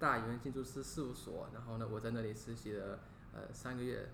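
Over audible room echo, a man with vocal fry speaks at a moderate pace and medium pitch with fairly even intonation. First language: English (speaking Chinese). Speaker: university student learning Chinese. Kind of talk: casual interview. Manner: halting.

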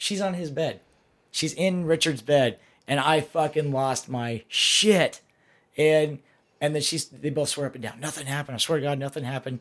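Very cleanly recorded over a silent background, a man with an ordinary speaking voice talks at a fairly high pitch with ordinary pitch variation. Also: moderate pace. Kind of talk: casual banter podcast.

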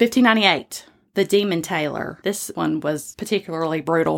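With a Southern US accent, a woman talks at a fairly quick pace and with lively intonation. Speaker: podcast host. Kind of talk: casual storytelling podcast.

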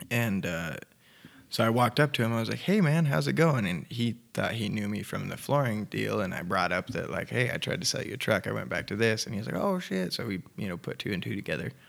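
A man with a fairly low pitch and vocal fry speaks at a fairly quick pace with very wide pitch swings. The recording is very clean, its background silent. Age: 20s. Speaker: musician in a band, person in recovery. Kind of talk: casual interview chat. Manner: relaxed, casual.

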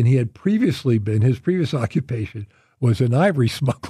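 In an American accent, the speaker talks at a fairly quick pace with a dark, mellow, somewhat breathy tone. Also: man. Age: 70s. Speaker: former college basketball player. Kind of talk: interview. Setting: studio. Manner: halting.

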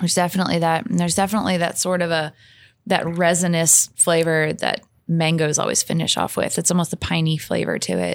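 In an American accent, a woman talks at a very fast pace with a fairly low pitch and monotone, flat intonation. Her loudness stays very even, and the recording is very clean with a silent background. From St. Louis, Missouri. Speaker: distillery master taster, former bartender. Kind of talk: casual interview. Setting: in person at a distillery.

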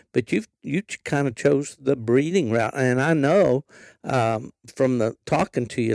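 With an Appalachian accent, a man speaks at a moderate pace and medium pitch in a dark, mellow tone, the sound dry and close with no echo. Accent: Appalachian Southern US. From West Virginia. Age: 70s. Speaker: podcast host and veteran hound hunter. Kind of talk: casual interview. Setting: outdoors at a wildlife refuge.

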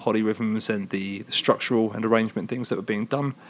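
With a southern English accent, a man talks at a fairly quick pace and medium pitch. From England, Hertfordshire. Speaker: rock band singer. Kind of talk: interview. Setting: concert venue.

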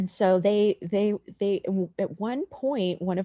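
Recorded dry and close with no echo, a woman's dark, mellow tone at medium pitch carries lively intonation. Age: 50s. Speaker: illustrator and author. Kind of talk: interview.

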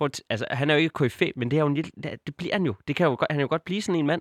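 The man's voice comes through dry and close with no echo, on a very clean recording with a silent background. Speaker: football podcast co-host. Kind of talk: casual chat. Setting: studio. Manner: halting, many filler sounds.

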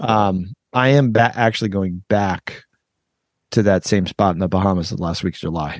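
Speaking in an ordinary speaking voice, a man with a fairly low pitch and ordinary pitch variation talks at a moderate pace, with a dry, close sound with no echo and a quiet background. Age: 50s. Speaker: education podcast host. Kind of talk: casual chat.

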